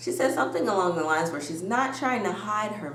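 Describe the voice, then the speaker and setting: A woman with a medium pitch speaks in an animated tone with lively intonation. Audible room echo and noticeable background noise surround her. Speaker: YouTuber reality TV recapper. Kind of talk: casual recap commentary. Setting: home video recording with ring light. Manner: loud.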